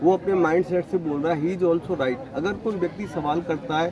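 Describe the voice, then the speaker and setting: A high-pitched man over noticeable background noise. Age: 60s. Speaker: network marketing leader. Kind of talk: interview. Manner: animated.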